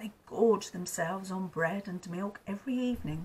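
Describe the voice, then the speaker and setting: A somewhat breathy woman's voice, medium in pitch with ordinary variation, at a moderate pace. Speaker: grandmother storyteller. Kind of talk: storybook reading aloud.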